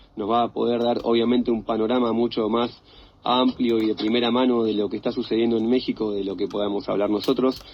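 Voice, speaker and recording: Speaking very fast, a man uses a Rioplatense accent. His medium-pitched voice is monotone and flat. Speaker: radio host. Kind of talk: live radio talk show.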